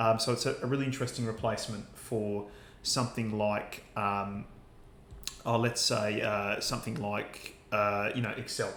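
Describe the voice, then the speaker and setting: A man with an Australian accent, medium pitch, moderate pace and fairly even intonation, with audible room echo. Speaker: university lecturer. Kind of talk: lecture. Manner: hesitant, many fillers.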